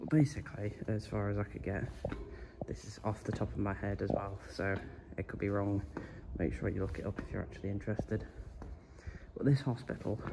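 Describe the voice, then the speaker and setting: Here a man with a fairly low pitch speaks at a fairly quick pace. Noticeable background noise is present. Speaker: urban explorer vlogger. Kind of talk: casual vlog chat. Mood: relaxed, joking. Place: empty room. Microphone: phone near.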